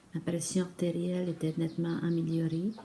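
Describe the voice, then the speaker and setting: A woman's somewhat breathy voice, fairly low in pitch, with a dark, mellow tone. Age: 60s. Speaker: retired accountant, client testimonial. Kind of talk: testimony. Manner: halting, many hesitations.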